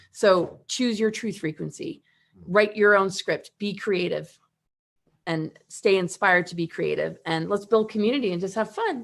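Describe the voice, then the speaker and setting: A woman with a plain, everyday voice speaks at a medium pitch and a moderate pace, with ordinary pitch variation. The background is quiet. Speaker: spiritual teacher and event host. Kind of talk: livestream panel talk. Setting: live video stream.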